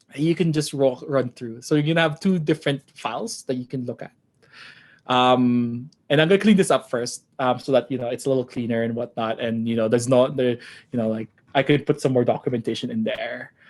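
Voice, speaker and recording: Here a man speaks at a fairly quick pace. His pitch is medium, with ordinary pitch variation. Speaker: programming workshop instructor. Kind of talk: online coding tutorial. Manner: halting, many fillers.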